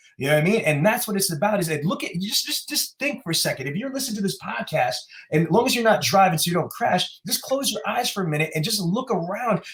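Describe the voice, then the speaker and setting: A man with an American accent talks at a very fast pace with hardly any pauses, his pitch high for a man. His tone is animated and his intonation lively, over noticeable background noise. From New York City (Queens and Brooklyn). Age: 40s. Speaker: motivational speaker. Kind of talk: podcast interview. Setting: podcast recording.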